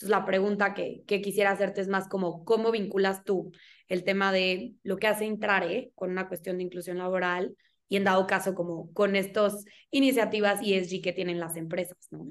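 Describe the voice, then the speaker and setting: This woman has an ordinary speaking voice, pitched at a medium level. She keeps a moderate pace with fairly even intonation. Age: 20s. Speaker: podcast host. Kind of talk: casual interview chat.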